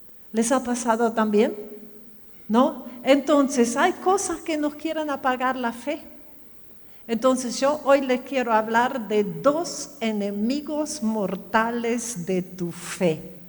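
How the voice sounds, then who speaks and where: With audible room echo, a woman with a German accent speaks very slowly at a high pitch, her intonation lively. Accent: German-tinged Spanish, lasting. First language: German (speaking Spanish). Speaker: pastor. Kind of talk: sermon. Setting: church. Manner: conversational, asks audience questions.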